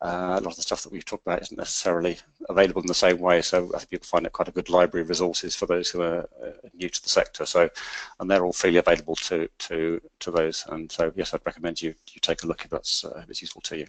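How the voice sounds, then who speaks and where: A man with a British accent at a very fast pace, big swings in loudness, and a dry, close sound with no echo. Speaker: energy industry consultant. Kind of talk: webinar presentation. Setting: online webinar. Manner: halting, many repetitions and fillers.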